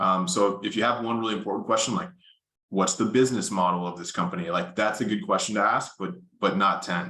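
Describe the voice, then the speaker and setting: A man talks loudly at a fairly quick pace, his fairly low voice rising and falling in a lively way. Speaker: consulting interview coach. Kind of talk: workshop presentation.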